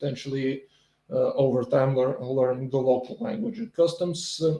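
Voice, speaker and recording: With a Bulgarian accent, a man talks at a moderate pace. His tone is dark and mellow, and somewhat breathy. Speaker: video blogger commenting on politics and economics. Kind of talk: solo commentary reacting to a quiz. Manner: halting, many fillers and restarts.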